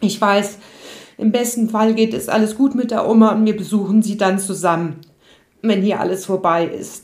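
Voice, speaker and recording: A woman uses an ordinary speaking voice at a fairly high pitch. She talks at a moderate pace with fairly even intonation. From Odenwald, Germany. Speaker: yoga and mental health coach. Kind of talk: personal storytelling monologue.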